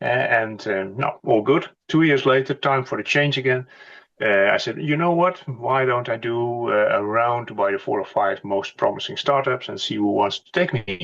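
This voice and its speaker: At a moderate pace, a man with a Dutch accent speaks at medium pitch with ordinary pitch variation and big swings in loudness, over a quiet background. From Netherlands. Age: 60s. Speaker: company executive. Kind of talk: interview.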